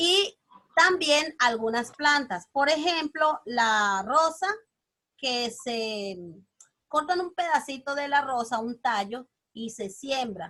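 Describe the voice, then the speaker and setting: A woman speaks in a high, raised, projected voice with lively intonation. Her tone is bright and sharp, and her pace is very slow. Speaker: teacher. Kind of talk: lecture.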